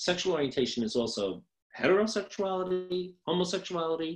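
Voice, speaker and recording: Speaking in an American accent is a man. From New York. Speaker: social work professor. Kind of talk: lecture. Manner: fast; hesitant with frequent ums.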